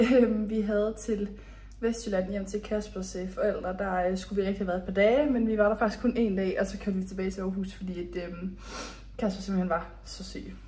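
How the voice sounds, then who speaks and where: In a room with audible echo, a woman speaks at a moderate pace with monotone, flat intonation. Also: medium pitch for a woman. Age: 20s. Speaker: lifestyle vlogger. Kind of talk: casual vlog talk. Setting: voiceover recorded indoors. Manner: hesitant with many fillers.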